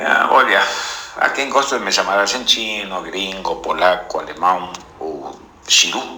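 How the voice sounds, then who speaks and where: Noticeable background noise and audible room echo around a man talking fairly slowly. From Argentina. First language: Spanish (speaking Portuguese). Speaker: visual artist. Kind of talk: interview.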